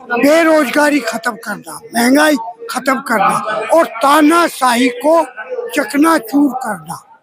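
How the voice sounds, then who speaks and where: There is noticeable background noise as a man talks at an extremely high pitch for a man, with ordinary pitch variation. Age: 80s+. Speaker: political activist at a rally. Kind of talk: street interview. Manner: animated.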